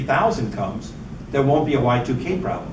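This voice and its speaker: The speaker's intonation is lively, with audible room echo and noticeable background noise. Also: man. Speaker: professor. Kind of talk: lecture.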